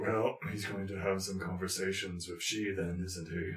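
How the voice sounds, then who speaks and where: Using a put-on character voice, a man speaks very deep and low, raspy and monotone with flat intonation. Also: moderate pace. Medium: actual play. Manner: formal, third-person.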